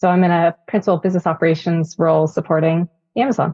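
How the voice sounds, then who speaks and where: A woman's plain, everyday voice, medium in pitch, with an American accent and a fairly quick pace. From Northern California. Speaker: Army veteran and corporate manager. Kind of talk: interview.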